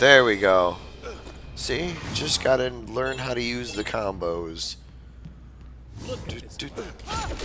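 Against noticeable background noise, a man speaks at a very slow pace with long, frequent pauses and big swings in loudness. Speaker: gamer. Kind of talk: gameplay commentary. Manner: casual, animated.

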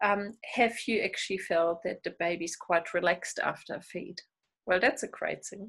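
A woman speaks at a moderate pace in a German accent, with ordinary pitch variation. The background is quiet. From Germany. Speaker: midwife and lactation consultant. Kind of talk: interview. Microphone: earbuds.

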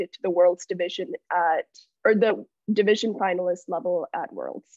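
Against a quiet background, a woman speaks at a moderate pace with fairly even intonation, the sound dry and free of echo. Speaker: student robotics bootcamp lead. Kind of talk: presentation. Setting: video call. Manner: halting. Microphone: video call.

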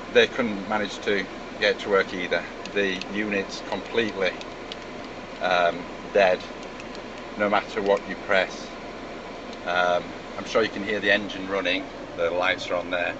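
Noticeable background noise sits behind the recording. A man speaks with long, frequent pauses. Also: moderate pace. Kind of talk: casual complaint demo. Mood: frustrated, resigned. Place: car. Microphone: phone near.

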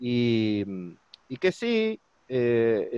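A man speaks with lively intonation in a dry sound with no echo. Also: quiet background. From Argentina. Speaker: interviewer. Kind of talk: interview. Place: home room. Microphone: video call.

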